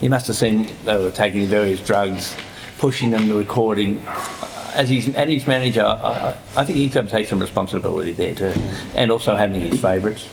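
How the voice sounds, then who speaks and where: The speaker has an Australian accent and a fairly quick pace, with very even loudness and ordinary pitch variation. Noticeable background noise and audible room echo are present. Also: man, fairly low pitch for a man. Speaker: author. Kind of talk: panel discussion.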